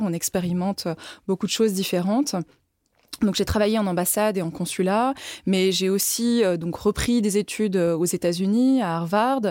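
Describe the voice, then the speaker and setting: In a very clean recording with a silent background, a woman with an ordinary speaking voice talks at a moderate pace and medium pitch, with ordinary pitch variation. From France, Lyon. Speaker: ambassador and former member of parliament. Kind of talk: interview.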